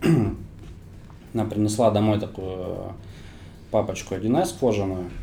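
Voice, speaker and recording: Audible room echo surrounds a man's somewhat breathy voice, dark and mellow in tone, fairly low in pitch and ordinary in pitch variation. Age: 30s. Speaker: startup founder. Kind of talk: interview.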